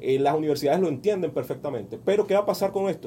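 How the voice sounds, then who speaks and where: A man speaks with a dark, mellow tone. His pace is very fast. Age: 40s. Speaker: business coach. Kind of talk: radio interview. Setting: radio studio. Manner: halting, many repetitions and fillers.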